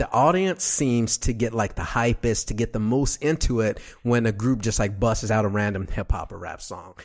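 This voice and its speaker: A man with an American accent speaks at medium pitch and a fairly quick pace, in a plain, everyday voice with ordinary pitch variation. The recording is very clean, with a silent background. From Texas, Dallas. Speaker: radio podcast host. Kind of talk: casual interview.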